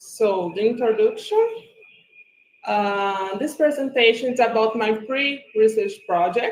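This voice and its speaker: Very slow speech from a woman with a Brazilian Portuguese accent, fairly high in pitch. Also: ordinary pitch variation. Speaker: graduate student. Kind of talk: academic presentation. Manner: reading from script.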